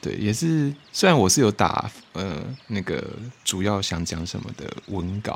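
A man with a Taiwanese accent speaks at a moderate pace in a fairly low voice, his intonation lively. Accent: Taiwanese Mandarin. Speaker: podcast host. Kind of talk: casual solo chat.

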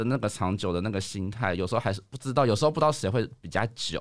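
A man at a very fast pace with lively intonation, on a very clean recording with a silent background. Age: 30s. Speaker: office worker. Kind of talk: casual chat.

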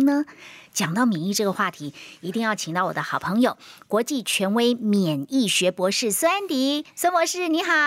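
High pitch from a woman, swinging very widely. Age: 50s. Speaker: health radio host. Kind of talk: casual chat. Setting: studio. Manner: animated.

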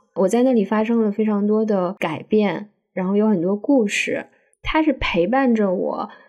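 At a moderate pace, a woman with a normal speaking voice and a fairly high pitch talks with ordinary pitch variation. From northeastern China, Daqing. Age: 30s. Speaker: podcast co-host. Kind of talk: casual chat. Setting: remote recording.

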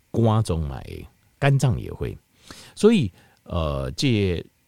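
At a very slow pace, a man speaks on a very clean recording with a silent background. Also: dry, close sound with no echo. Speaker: health podcast host. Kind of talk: solo health talk. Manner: casual, many filler particles.

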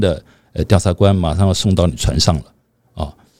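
This man's voice has a dark, mellow tone. He talks at a moderate pace. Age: 60s. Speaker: podcast co-host. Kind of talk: casual chat.

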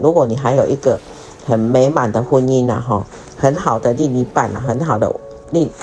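A woman speaks with a very deep, low pitch. Noticeable background noise can be heard. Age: 50s. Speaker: podcast host, retiree. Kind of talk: casual monologue. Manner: halting, many fillers.

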